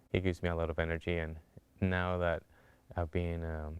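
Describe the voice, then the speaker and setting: With a Spanish accent, a man speaks at a fairly quick pace in a very deep, low, monotone, flat voice on a very clean recording with a silent background. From Colombia. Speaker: cancer survivor. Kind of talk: testimony.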